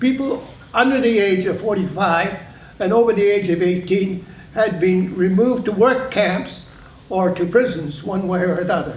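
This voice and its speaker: Moving at a moderate pace, a man speaks in a high pitch with ordinary pitch variation. Audible room echo and noticeable background noise are present. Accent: Canadian. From British Columbia, Canada (Prince Rupert). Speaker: internment survivor and community leader. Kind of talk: panel testimony. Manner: halting, many restarts.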